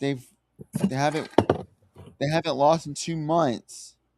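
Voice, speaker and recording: Fairly high in pitch, a man talks with an American accent and ordinary pitch variation. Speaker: livestream host. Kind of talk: casual chat. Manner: animated.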